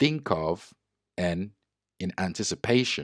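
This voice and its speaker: On a very clean recording with a silent background and a dry, close sound with no echo, a man with a non-native accent speaks at a very deep, low pitch with lively intonation. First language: not English. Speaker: trading educator and user researcher. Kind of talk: tutorial.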